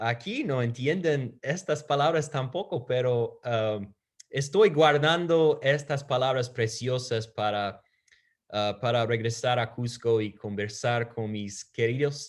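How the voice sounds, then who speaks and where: A man talks at a very slow pace with ordinary pitch variation, and the background is quiet. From United States. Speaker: preacher. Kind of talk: sermon. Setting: virtual church service.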